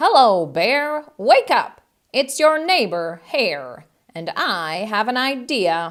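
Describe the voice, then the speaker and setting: A put-on character voice, female-sounding and high-pitched, very slow, with very wide pitch swings. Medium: read story. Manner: smooth, persuasive.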